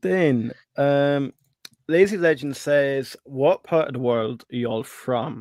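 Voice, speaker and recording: In an Irish accent, a man speaks at a very slow pace and fairly high pitch with ordinary pitch variation. The sound is dry and close, with no echo. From Ireland. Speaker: stock investing livestream host. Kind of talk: casual livestream chat.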